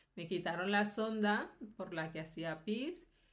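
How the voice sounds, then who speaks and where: Speaking at a very slow pace, a woman shows ordinary pitch variation amid audible room echo. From Colombia. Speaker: video blogger. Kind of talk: personal testimony. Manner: hesitant, with fillers.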